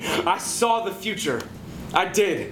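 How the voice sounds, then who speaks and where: A man is speaking in a room with audible echo. Light background noise runs underneath. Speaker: slam poet. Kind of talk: slam poetry performance. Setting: live venue. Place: stage. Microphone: handheld.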